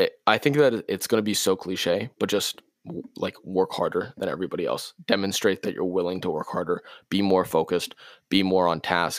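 A fairly quick pace on a very clean recording with a silent background, the sound dry and close with no echo. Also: man. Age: 20s. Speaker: college student and intern. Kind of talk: casual interview. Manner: halting, frequent repetitions.

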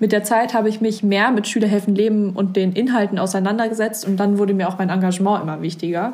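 Talking very fast with hardly any pauses, a woman keeps a medium pitch and fairly even intonation. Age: young. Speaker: podcast host, volunteer. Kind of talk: casual interview chat.

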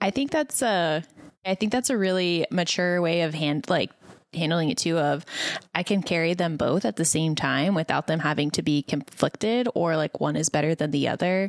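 A woman with an American accent and an ordinary speaking voice talks at a moderate pace and a fairly low pitch, with lively intonation and very even loudness, in a dry, close sound with no echo and a quiet background. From El Paso, Texas. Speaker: podcast co-host. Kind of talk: interview.

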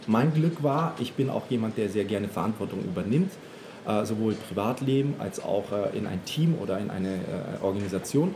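With lively intonation and a fairly low pitch, a man speaks at a moderate pace over noticeable background noise. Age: 30s. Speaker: fashion retail manager. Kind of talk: casual interview. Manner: hesitant, many fillers.

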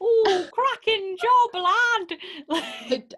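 A woman uses a put-on character voice. Her pitch is extremely high. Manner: cheery.

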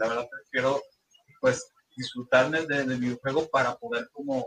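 A man's fairly high, normal speaking voice, with lively intonation at a moderate pace. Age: 20s. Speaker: gaming content creator. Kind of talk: casual chat.

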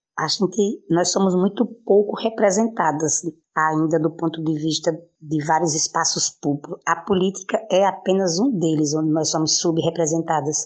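An ordinary speaking voice moves at a moderate pace, with very even loudness and ordinary pitch variation. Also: woman, fairly low pitch for a woman. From Brazil, Pernambuco backlands (Araripe). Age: 50s. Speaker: poet and city councillor. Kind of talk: interview.

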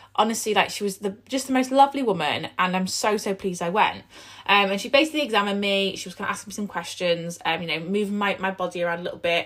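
A woman talks fast in a croaky voice with few pauses. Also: medium pitch for a woman, ordinary pitch variation, fairly bright tone.

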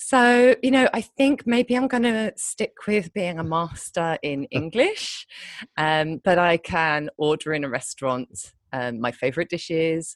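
A woman's fairly low voice in a British accent, with very wide pitch swings and a dry, close sound with no echo. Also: fairly slow pace. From Britain. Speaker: copywriter. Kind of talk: interview conversation. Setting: remote call from Thailand. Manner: hesitant, many fillers.

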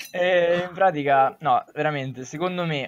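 With fairly even intonation, this man talks at a fairly slow pace. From Lazio, Italy. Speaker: YouTube comedy creator. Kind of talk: casual chat. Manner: halting.

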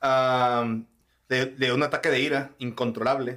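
This man speaks at a medium pitch. He has a plain, everyday voice. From Mexico, Sonora (Cananea). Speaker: podcast host. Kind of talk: casual chat.

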